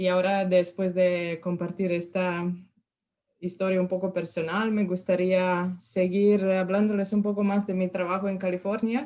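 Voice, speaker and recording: A woman with a Serbian accent speaks at a moderate pace and medium pitch, with fairly even intonation. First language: Serbian (speaking Spanish). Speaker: university extension specialist. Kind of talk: lecture. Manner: halting.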